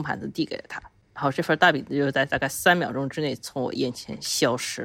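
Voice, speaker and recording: A very clean, silent-background recording of very fast talking. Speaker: travel companion. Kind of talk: casual chat.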